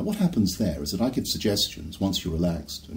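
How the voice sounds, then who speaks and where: A man with vocal fry, at a fairly quick pace. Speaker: hypnotherapist. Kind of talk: promotional talk to camera.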